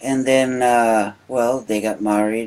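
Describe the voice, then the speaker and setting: A man with a Uruguayan accent and fairly even intonation. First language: Spanish. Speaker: immigrant interviewee. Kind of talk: oral history interview. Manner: halting, many fillers.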